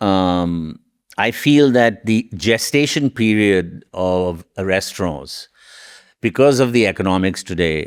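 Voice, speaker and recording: A man speaks at a very slow pace with a very deep, low pitch. The sound is dry and close with no echo, on a very clean recording with a silent background. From Mumbai, India. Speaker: restaurateur. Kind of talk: interview answer.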